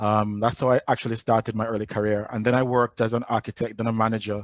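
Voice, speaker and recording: A Jamaican accent in a dry, close sound with no echo against a quiet background. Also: man. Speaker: agile coach. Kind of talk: conference talk.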